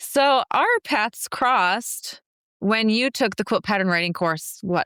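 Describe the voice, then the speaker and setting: With an Upper Midwest accent, a woman speaks at a very slow pace with very wide pitch swings in a very clean recording with a silent background. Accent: Upper Midwest American. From US Midwest, Minnesota. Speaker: podcast host, entrepreneur. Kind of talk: podcast interview.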